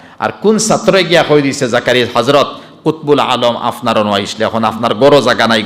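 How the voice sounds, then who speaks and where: A man's medium-pitched voice with lively intonation, set against noticeable background noise. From India. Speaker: Islamic scholar, waz preacher. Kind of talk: Islamic sermon, storytelling to an audience.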